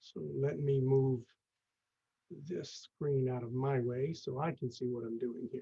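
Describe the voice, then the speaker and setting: Somewhat breathy with a dark, mellow tone, the voice moves at a fairly slow pace broken by long, frequent pauses. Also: man, medium pitch for a man, ordinary pitch variation. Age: 60s. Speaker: real estate investor, network founder. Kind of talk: webinar presentation. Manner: halting, many fillers.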